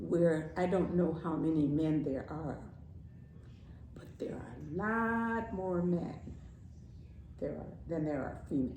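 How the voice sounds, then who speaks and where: Amid noticeable background noise, a woman with a very deep, low voice talks very slowly, with long, frequent pauses, ordinary pitch variation and big swings in loudness. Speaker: grandmother, storyteller. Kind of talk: casual talk about politics and society.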